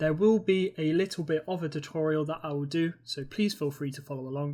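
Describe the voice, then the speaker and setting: A fairly quick British accent in a very clean recording with a silent background. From Britain. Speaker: university digital learning tutor. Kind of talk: software tutorial. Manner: casual, with filler words.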